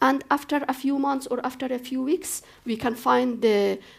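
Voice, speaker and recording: This woman has an Afghan accent and a high-pitched voice. She speaks at a moderate pace. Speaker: human rights activist, former politician. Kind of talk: panel discussion. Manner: halting, with fillers.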